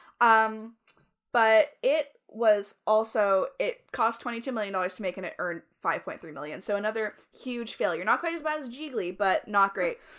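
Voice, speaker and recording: A plain, everyday voice moves at a moderate pace with lively intonation and big swings in loudness. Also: woman, fairly high pitch for a woman. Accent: Canadian. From Canada. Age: 20s. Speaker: podcast co-host. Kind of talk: casual chat.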